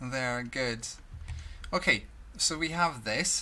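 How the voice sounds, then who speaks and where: Here a man speaks with a Swedish accent. His pace is very slow. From Sweden. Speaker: video blogger. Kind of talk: casual monologue. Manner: halting.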